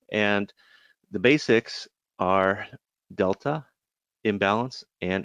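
Recorded with a dry, close sound with no echo and a quiet background, a man with an American accent uses an ordinary speaking voice, his fairly low pitch moving with ordinary pitch variation. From US Midwest, Chicago. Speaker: trading educator. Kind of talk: webinar presentation. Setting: online webinar. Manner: casual, many filler words.

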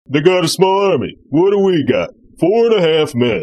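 A man puts on a cartoonish character voice, pitched high, with lively intonation. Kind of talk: comic overacting. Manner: gruff, boastful, dumb tough-guy delivery.

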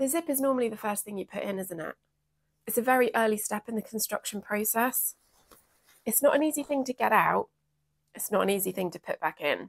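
Against a quiet background, a woman with an English accent talks at a fairly quick pace with lively intonation, leaving long, frequent pauses. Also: dry sound with no echo. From England. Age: 40s. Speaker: sewing vlogger. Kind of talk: casual chat. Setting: craft room. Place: home room. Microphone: lapel.

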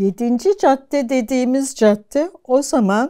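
A woman speaks at a very slow pace with lively intonation and a dark, mellow tone. The background is quiet. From Turkey, Ankara. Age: 70s. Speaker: archaeology professor. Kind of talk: life-story interview. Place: home room. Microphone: lapel.

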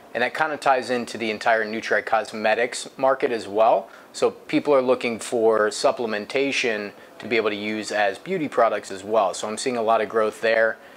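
Over light background noise, a man with an American accent speaks at a moderate pace with fairly even intonation. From US Midwest, Akron, Ohio; Ohio. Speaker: payment processing specialist. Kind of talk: interview. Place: office.

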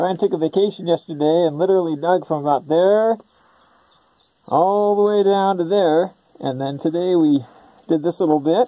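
Against a quiet background, a man with a high voice speaks at a moderate pace with ordinary pitch variation and long, frequent pauses. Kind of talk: casual commentary. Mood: excited. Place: tunnel cave. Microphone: phone near.

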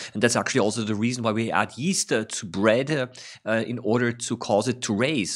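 A man talks fairly quickly, his pitch varying in an ordinary way, with a quiet background behind him. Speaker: science educator. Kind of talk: tutorial commentary. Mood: calm, interested. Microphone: studio mic.

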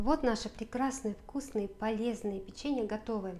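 A woman at a moderate pace, with fairly even intonation and light background noise. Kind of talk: cooking tutorial. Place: kitchen. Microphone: phone near.

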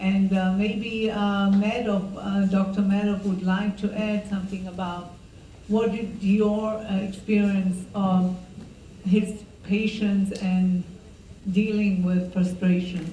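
Over light background noise and audible room echo, a woman speaks very slowly in a monotone at a medium pitch. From Israel. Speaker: filmmaker; filmmaker on panel. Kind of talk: panel Q&A after a screening. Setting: stage with audience. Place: hall.

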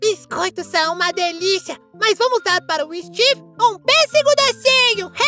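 A cartoonish character voice at an extremely high pitch comes through over faint background music. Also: moderate pace. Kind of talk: children's cartoon voice. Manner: cheeky, bossy, playful.

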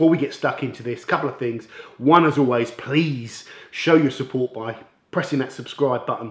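A man talks at a very fast pace with ordinary pitch variation. There is audible room echo over a quiet background. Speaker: car detailing channel host. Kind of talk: product review intro. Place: workshop.

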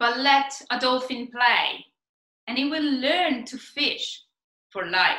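A woman with a high voice and an Italian accent projects her voice at a very slow pace, her tone bright and sharp, with audible room echo over a quiet background. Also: ordinary pitch variation. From Italy. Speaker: PhD researcher, marine biologist. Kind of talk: science communication talk. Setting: stage competition presentation. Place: home room. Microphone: webcam.

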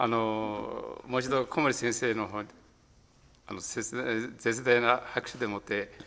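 A man's bright, sharp, medium-pitched voice, fairly slow and monotone with flat intonation. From Tokyo (Ikebukuro); Tokyo. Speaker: event host. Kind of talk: formal introduction. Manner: halting. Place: studio. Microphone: studio mic.

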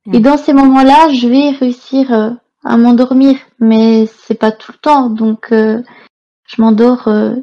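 A woman talks in a high pitch with monotone, flat intonation. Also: dry, close sound with no echo. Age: 20s. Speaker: animal shelter worker and photographer. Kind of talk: testimony. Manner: halting, repeats words.

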